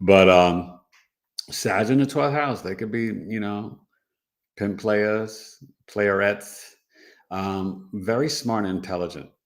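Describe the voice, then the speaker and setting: Speaking in a New York accent, a man talks at a very slow pace with long, frequent pauses. His pitch is fairly low, with ordinary variation. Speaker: astrologer. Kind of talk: casual teaching livestream. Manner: animated.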